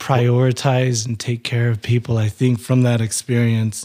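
A man with an American accent at a medium pitch and a fairly slow pace, in a normal speaking voice. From Utah. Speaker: former power lineman, amputee. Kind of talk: interview storytelling.

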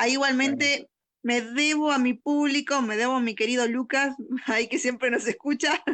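A woman speaks at a moderate pace in a high pitch. Her loudness stays very even and her intonation fairly even. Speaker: teacher and radio host. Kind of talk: educational radio chat.

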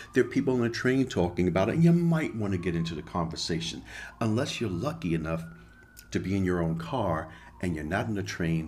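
A man's speech carries audible room echo. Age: 50s. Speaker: podcast host. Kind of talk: solo monologue.

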